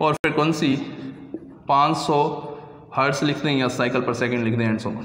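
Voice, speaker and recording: Noticeable background noise and audible room echo accompany a man whose pitch varies in an ordinary way. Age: old. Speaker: teacher. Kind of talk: lecture.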